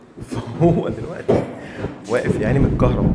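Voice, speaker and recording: A man speaks with audible room echo. Noticeable background noise runs under his voice. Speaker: house cleaner, vlogger. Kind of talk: casual vlog. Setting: apartment being cleaned. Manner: lowered voice, quiet.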